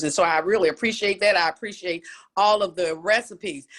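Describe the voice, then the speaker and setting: A woman talks at a fairly quick pace in an animated tone. Her pitch is medium, with ordinary variation. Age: 60s. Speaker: challenge participant giving testimony. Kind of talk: testimony. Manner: halting.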